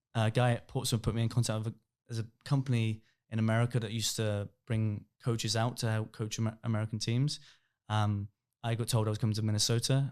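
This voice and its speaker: Speaking at a very fast pace in a monotone, flat intonation, a man with an English accent holds a medium pitch in a very clean recording with a silent background. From England, Reading. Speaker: youth football coach. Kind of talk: podcast interview. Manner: mumbling.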